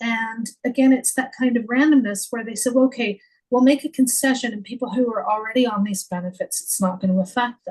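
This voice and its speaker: A woman with a high voice speaks at a fairly quick pace, her pitch moving in an ordinary way. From Canada. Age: 50s. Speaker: former editor and author. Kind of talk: podcast interview. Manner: halting.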